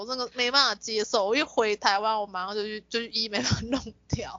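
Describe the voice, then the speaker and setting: Using a normal speaking voice, a woman talks at a fairly high pitch and a fairly quick pace. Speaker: podcast co-host. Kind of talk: casual chat.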